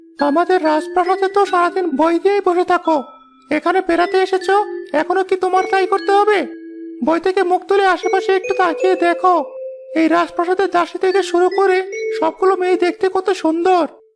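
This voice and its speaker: The pitch here is extremely high. It is a cartoonish character voice. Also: moderate pace. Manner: chatty.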